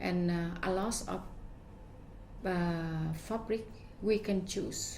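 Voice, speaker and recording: Speaking at a very slow pace with a Vietnamese accent, a woman sounds somewhat breathy, with ordinary pitch variation and audible room echo. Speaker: fashion designer. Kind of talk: interview. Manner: halting.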